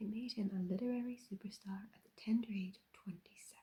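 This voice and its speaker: Soft-spoken and somewhat breathy, a woman with an Irish accent talks at a moderate pace with a medium pitch, a dark, mellow tone and monotone, flat intonation. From Ireland. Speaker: ASMR creator. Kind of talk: ASMR soft-spoken chat.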